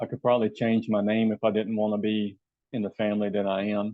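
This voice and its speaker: A man speaks at a very fast pace with a fairly low pitch. His intonation stays monotone and flat. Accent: Southern US. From US South. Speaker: health and wellness coach. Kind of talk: channel introduction monologue. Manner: hesitant, many fillers.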